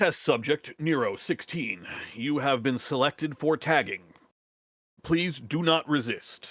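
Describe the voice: A man does a put-on, robotic character voice at a fairly high pitch. He goes at a fairly slow pace on a very clean recording with a silent background.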